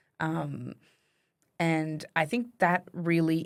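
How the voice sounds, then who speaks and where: In a very clean recording with a silent background, a woman with an Australian accent speaks very slowly in a very deep, low pitch. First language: French. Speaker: writer. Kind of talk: casual chat.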